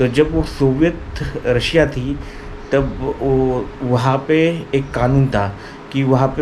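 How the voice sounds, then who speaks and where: A man speaks with fairly even intonation. Audible room echo and noticeable background noise surround his voice. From India, Marathi-speaking (Maharashtra). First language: Marathi (speaking Hindi). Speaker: language learning vlogger. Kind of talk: informal explainer vlog. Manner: hesitant, many fillers.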